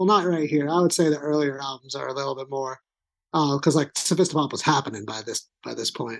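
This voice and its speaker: Someone with an American accent talks at a very fast pace against a quiet background. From Long Island, New York. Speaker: podcast guest. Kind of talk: casual chat. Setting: video call.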